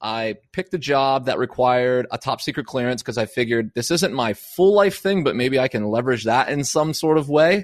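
Against a quiet background with a dry, close sound and no echo, a man with an American accent talks at a fairly quick pace and medium pitch, with lively intonation, an energetic tone and hardly any pauses. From Pennsylvania. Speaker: former military contractor turned digital nomad. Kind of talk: casual interview.

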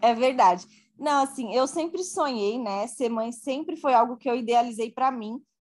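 A woman with a high-pitched voice talks at a middling speed, her pitch rising and falling normally. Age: 20s. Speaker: working mother in tech. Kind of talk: podcast interview.

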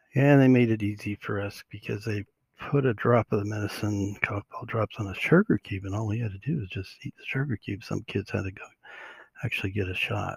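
This man has a fairly low pitch and a somewhat breathy voice. He talks at a fairly quick pace with ordinary pitch variation and big swings in loudness. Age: 60s. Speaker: podcast host. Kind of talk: solo podcast monologue. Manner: halting, many fillers.

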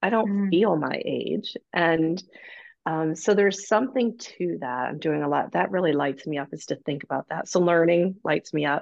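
Vocal fry runs through this woman's voice. She speaks at a moderate pace with lively intonation. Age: 50s. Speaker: mother of two adult daughters. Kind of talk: casual interview conversation.

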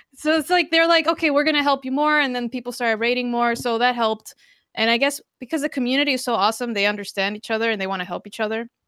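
A woman with a Spanish accent at a high pitch, bright and sharp in tone, very fast in pace with ordinary pitch variation, on a very clean recording with a silent background. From Costa Rica. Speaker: Twitch streamer and drummer. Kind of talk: casual interview. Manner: halting, many fillers.

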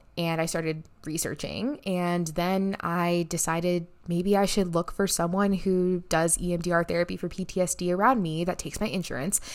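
A woman's unremarkable speaking voice, fairly low in pitch, at a moderate pace with fairly even intonation. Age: 20s. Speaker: podcast host and neuroscientist. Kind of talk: personal storytelling monologue.

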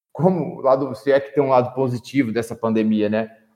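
A man speaks at a moderate pace with ordinary pitch variation in a normal speaking voice. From Minas Gerais, Brazil. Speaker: football coach, panelist. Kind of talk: casual football discussion podcast.

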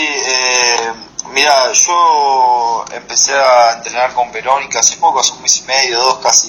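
Noticeable background noise sits under a man's voice at medium pitch. He talks at a very slow pace with fairly even intonation. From Argentina. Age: 20s. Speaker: professional MMA fighter. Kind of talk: interview.

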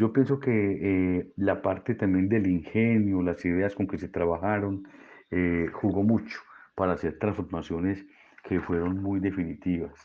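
A man with an Antioquian accent, very deep and low in pitch, at a fairly slow pace. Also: fairly even intonation. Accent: Colombian paisa Spanish. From Colombia, Medellín (Antioquia). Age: 60s. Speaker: physician. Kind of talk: interview monologue.

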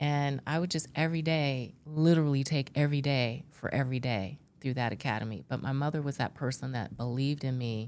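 Very deep and low, this woman's voice shows ordinary pitch variation at a fairly quick pace. The recording is very clean, with a silent background. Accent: American. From California, Central Valley (Bakersfield). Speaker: retired police executive and professor. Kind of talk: interview conversation.

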